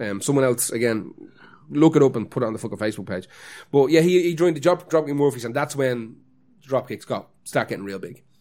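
With an Irish accent, a man speaks at a very fast pace. His pitch is medium, with ordinary pitch variation. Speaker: podcast co-host. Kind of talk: casual chat.

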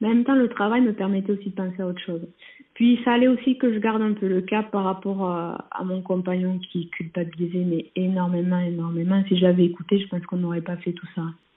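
A woman's plain, everyday voice, medium in pitch, at a fairly quick pace with fairly even intonation. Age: 20s. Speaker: nurse. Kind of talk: testimony.

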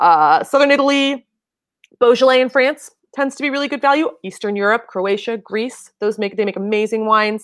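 A plain, everyday voice at a fairly quick pace with ordinary pitch variation, in a very clean recording over a silent background. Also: woman, fairly high pitch for a woman. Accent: American. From California, Bay Area; UK from 16. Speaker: wine educator. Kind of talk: interview conversation.

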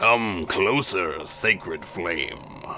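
Clear background noise can be heard throughout. Over it, a man speaks in a put-on character voice. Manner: eerie, commanding.

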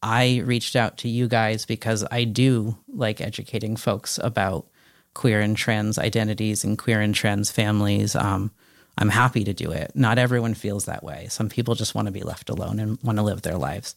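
In a very clean recording with a silent background, a man uses a normal speaking voice with an American accent, fairly low pitch, fairly even intonation and a moderate pace. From Connecticut, small town. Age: 30s. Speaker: transgender father, podcast guest. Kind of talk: interview conversation.

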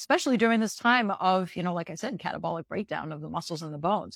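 A woman talks in a plain, everyday voice at medium pitch with ordinary pitch variation. The sound is dry and close, without echo. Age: 50s. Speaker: reproductive endocrinologist. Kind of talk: interview.

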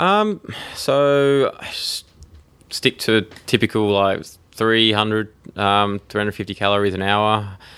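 A man with an Australian accent, fairly low in pitch, bright and sharp in tone, with fairly even intonation, a very slow pace and long, frequent pauses. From Tasmania, Australia. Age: 30s. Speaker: professional triathlete. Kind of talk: interview.

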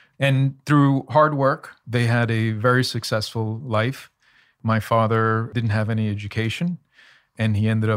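A man with an ordinary speaking voice talks at a moderate pace and medium pitch with fairly even intonation, in a very clean recording with a silent background. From United States, child of Colombian immigrants. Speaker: finance executive. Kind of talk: interview.

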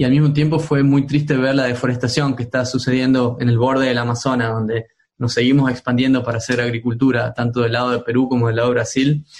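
At a very fast pace with hardly any pauses, a man speaks at a medium pitch. His intonation is monotone and flat. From Argentina, Tucumán. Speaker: tech entrepreneur. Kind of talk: interview. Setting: remote call. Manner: halting, many fillers.

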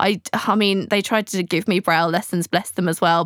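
A woman with an English accent, on a very clean recording with a silent background and a dry, close sound with no echo. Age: 20s. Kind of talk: casual interview chat. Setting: in person studio.

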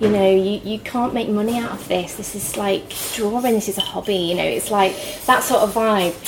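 A woman speaks at a moderate pace with a medium pitch and monotone, flat intonation. Noticeable background noise can be heard. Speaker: freelance designer and illustrator. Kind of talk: casual chat. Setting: pub.

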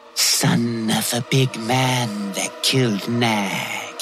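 A man puts on a character voice and talks at a very slow pace. Background noise is clearly audible. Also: medium pitch for a man. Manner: hissing; menacing.

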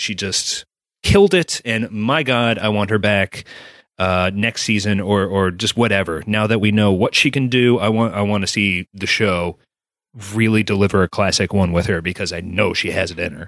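Recorded very clean with a silent background, a man speaks in an unremarkable speaking voice that sits fairly low, with ordinary pitch variation. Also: moderate pace. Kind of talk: casual chat. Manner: irreverent, salty.

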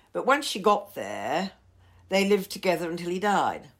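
The recording is very clean with a silent background. A woman of medium pitch speaks at a moderate pace with vocal fry and ordinary pitch variation. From Australia, Melbourne. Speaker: publisher and historian. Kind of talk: interview about her book.

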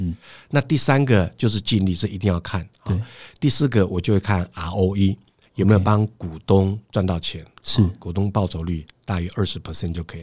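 Over a very clean, silent background, a somewhat breathy man with a fairly low pitch speaks at a moderate pace with ordinary pitch variation. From Taiwan, Hsinchu. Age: 50s. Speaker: professional lecturer and serial entrepreneur. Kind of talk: interview.

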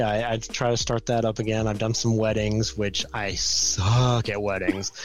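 Over noticeable background noise, a man with an American accent and medium pitch talks at a moderate pace with hardly any pauses. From US South, Georgia near Atlanta. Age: 30s. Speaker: comic book expert. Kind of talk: casual chat.

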